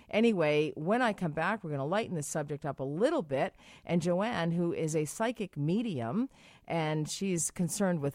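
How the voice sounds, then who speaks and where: A woman with an American accent has a fairly low voice that swings very widely in pitch. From Massachusetts. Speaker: radio host and sex educator with a nursing background. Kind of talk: call-in radio show. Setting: radio studio.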